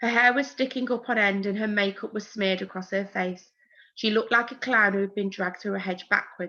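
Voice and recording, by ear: A natural voice reading aloud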